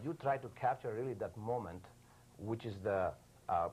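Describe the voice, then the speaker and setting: A man talks at a moderate pace with a medium pitch. His voice is somewhat breathy, with ordinary pitch variation. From Yugoslavia. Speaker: news photographer. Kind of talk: TV interview. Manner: halting, many fillers.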